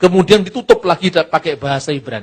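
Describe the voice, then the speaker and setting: A man speaks with a Javanese accent. His pitch swings very wide. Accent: Javanese-accented Indonesian. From Java, Indonesia. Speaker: Bible teacher. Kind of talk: lecture.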